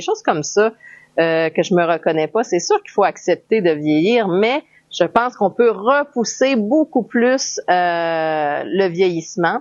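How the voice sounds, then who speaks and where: Her delivery comes at a fairly slow pace. The woman speaks in a Quebec accent with lively intonation. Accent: Québécois French. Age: 40s. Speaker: health vlogger. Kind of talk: personal vlog monologue. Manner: hesitant, many fillers.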